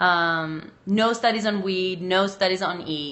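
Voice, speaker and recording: A woman of medium pitch with a slight Macedonian accent speaks at a very slow pace with fairly even intonation, with audible room echo. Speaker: sex researcher and educator. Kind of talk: live stream chat answering viewer comments. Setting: live video stream.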